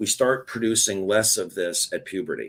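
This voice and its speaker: With an ordinary speaking voice, a man speaks at medium pitch and a moderate pace. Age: 60s. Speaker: former doctor promoting a supplement. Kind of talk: interview presentation.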